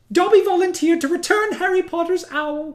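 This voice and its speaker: An extremely high, squeaky put-on character voice at a fairly quick pace. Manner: adoring, eager.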